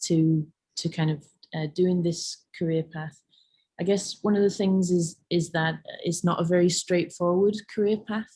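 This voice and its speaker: A woman talks at a medium pitch in a dark, mellow tone. Her delivery is somewhat breathy and monotone, with flat intonation. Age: 30s. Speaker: laundrette project founder, arts worker. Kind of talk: online careers talk. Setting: video call. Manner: hesitant, many fillers.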